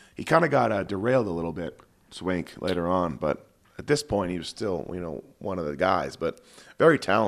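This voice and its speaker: A man talks at a fairly quick pace in a very deep, low pitch, with vocal fry. His intonation is lively and his loudness swings widely. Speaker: motocross podcast host, former mechanic. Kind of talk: casual race commentary.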